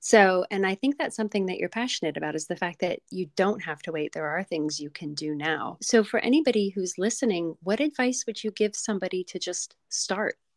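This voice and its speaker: A woman with an unremarkable speaking voice talks at a fairly quick pace with lively intonation and hardly any pauses. The sound is dry and close, without echo. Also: medium pitch for a woman. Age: 50s. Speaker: podcast host and photographer. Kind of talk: casual interview chat.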